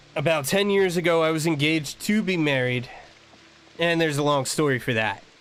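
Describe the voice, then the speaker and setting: A man with an American accent talks fairly quickly in a fairly high voice. His loudness stays very even, and audible room echo surrounds him. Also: ordinary pitch variation. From New Jersey. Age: 30s. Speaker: gaming streamer, military veteran. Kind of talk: casual chat.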